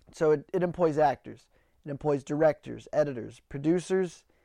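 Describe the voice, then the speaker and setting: The man's tone is animated, and his pitch sits fairly high. He talks at a fairly quick pace against a quiet background. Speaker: podcast host. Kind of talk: angry rant; satirical comedy monologue. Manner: animated, indignant, judgmental.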